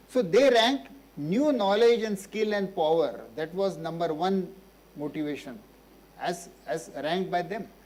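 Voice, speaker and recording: In a room with audible echo, a man with a high pitch speaks fairly slowly with lively intonation. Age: 70s. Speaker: physician and social activist. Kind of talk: Q&A after a public lecture.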